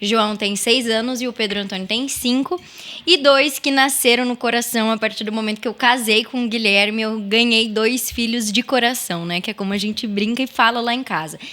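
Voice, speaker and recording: A woman at a fairly high pitch, with ordinary pitch variation and a moderate pace, over noticeable background noise. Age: 20s. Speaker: mother and stepmother sharing her story. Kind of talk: podcast interview.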